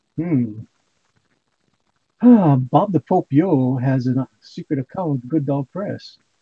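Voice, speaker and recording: A man's somewhat breathy, fairly high-pitched voice with a dark, mellow tone, ordinary pitch variation, a very slow pace and long, frequent pauses, dry and close with no echo. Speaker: livestream host. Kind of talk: casual chat. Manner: animated.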